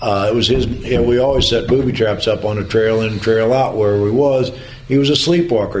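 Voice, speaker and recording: A man with a rural Missouri accent talks at a fairly quick pace, with audible room echo and noticeable background noise. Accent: rural Missouri American. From US Midwest, Jefferson County Missouri. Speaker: war veteran. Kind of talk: testimony. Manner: halting.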